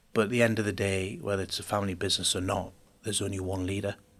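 In a Geordie accent, a man talks at a very fast pace. His fairly low voice stays monotone and flat. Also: very clean recording, silent background. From Newcastle, northeast England. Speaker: business executive. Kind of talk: interview.

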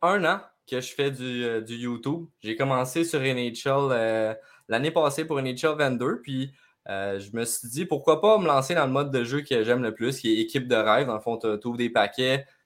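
A man with a Quebec accent speaks at a medium pitch. He goes at a very slow pace. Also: very clean recording, silent background. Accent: Québécois French. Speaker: gaming YouTuber. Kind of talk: casual chat.

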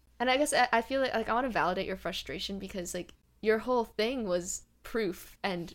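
Delivered at a fairly quick pace with vocal fry and ordinary pitch variation, the speech sits on a very clean recording with a silent background. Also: woman. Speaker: podcast host. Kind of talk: casual interview chat.

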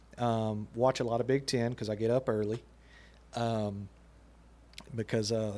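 Fairly slow and fairly even in intonation, a man speaks with a dark, mellow tone. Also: long, frequent pauses. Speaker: podcast co-host. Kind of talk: casual sports chat.

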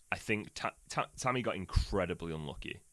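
A man's voice comes through with a bright, sharp tone. The sound is dry and close with no echo, on a very clean recording with a silent background. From Manchester. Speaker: podcast host. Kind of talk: casual football chat.

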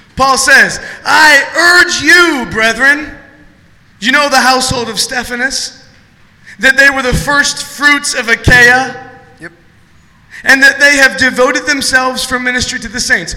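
Through noticeable background noise, a man with an extremely high pitch speaks in a raised, projected voice at a fairly slow pace, his intonation fairly even and his loudness swinging widely. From Ohio. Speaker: guest pastor. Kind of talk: sermon. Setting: church.

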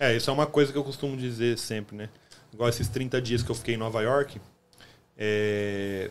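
With a Brazilian accent, a man speaks at medium pitch and a moderate pace, his intonation fairly even and his pauses long and frequent. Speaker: podcast host. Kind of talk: casual interview chat.

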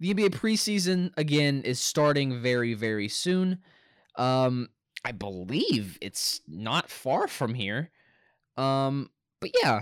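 Very wide pitch swings mark this very slow delivery, captured in a very clean recording with a silent background. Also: man, medium pitch for a man, dry, close sound with no echo. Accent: American. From Arkansas, US South. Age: 20s. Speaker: college student sports podcast host. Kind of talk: solo casual sports commentary. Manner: halting, many fillers and repeats.

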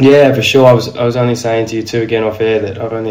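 A man with an Australian accent speaks at fairly low pitch in a monotone, flat way. Noticeable background noise and audible room echo surround him. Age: 30s. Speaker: podcast host. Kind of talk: casual chat.

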